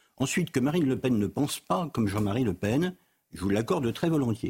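This man's medium-pitched voice is somewhat breathy and rises and falls in very wide pitch swings. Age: 60s. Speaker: political scientist. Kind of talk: TV debate.

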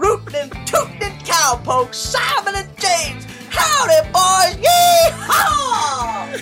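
A put-on character voice goes at a very slow pace over clear music in the background. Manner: ridiculous, exaggerated, cheerful.

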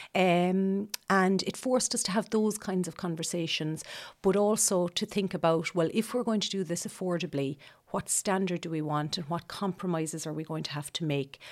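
Speaking with an Irish Midlands accent, a woman keeps a moderate pace, medium pitch and ordinary pitch variation. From Ireland, County Laois. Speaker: homeowner who renovated her house. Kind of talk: interview.

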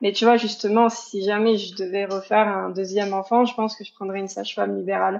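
A woman talks at a very fast pace with hardly any pauses, a medium pitch, monotone, flat intonation and big swings in loudness. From Paris region, France. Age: 30s. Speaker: single mother. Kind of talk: personal testimony interview.

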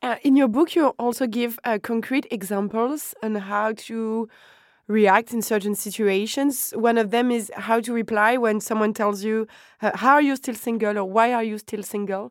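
In a French accent, a woman talks at a moderate pace with fairly high pitch and fairly even intonation. The recording is very clean with a silent background. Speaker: podcast host. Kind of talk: interview.

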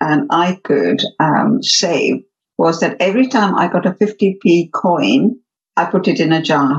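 At a very slow pace, a woman with a somewhat breathy, medium-pitched voice speaks with lively intonation. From Uganda. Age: 60s. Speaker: HR consultant and business owner. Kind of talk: casual interview.

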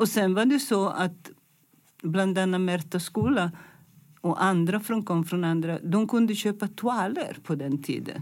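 A woman speaks fairly slowly at medium pitch, with ordinary pitch variation and very even loudness. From Italy, Milan. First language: Italian (speaking Swedish). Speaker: fashion designer. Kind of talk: interview. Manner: halting.

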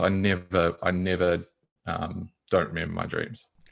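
A man with a New Zealand accent and a very deep, low pitch, against a quiet background. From New Zealand, small rural town. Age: 30s. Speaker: meditation and yoga teacher. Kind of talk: interview. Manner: casual, halting with fillers.

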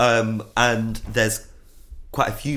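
A man speaks with an East Midlands accent. His pace is fairly slow and his pitch fairly low. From Nottingham, English Midlands. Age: 30s. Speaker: DJ and artist. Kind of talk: casual chat.

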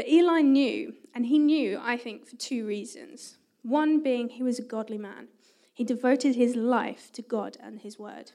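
A woman with a high pitch and a dark, mellow tone speaks at a moderate pace. Her pitch variation is ordinary, with big swings in loudness. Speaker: youth worker. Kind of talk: church talk. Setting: church with audience.

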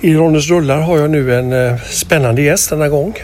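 A man with a fairly high voice is heard over noticeable background noise. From Gothenburg, Sweden. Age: 50s. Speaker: film podcast host. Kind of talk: interview.

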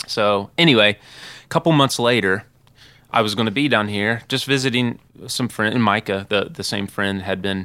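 In a plain, everyday voice, a man with an American accent speaks at a moderate pace, fairly low in pitch with ordinary variation, on a very clean recording with a silent background. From southern Ohio. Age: 20s. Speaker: rock band guitarist. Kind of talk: casual interview. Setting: studio.

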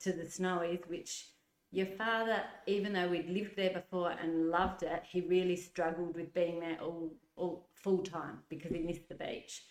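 A woman's fairly low-pitched, monotone, flat voice at a moderate pace. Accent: Australian. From Adelaide, South Australia. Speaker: nurse and mother of the host. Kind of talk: casual interview chat.

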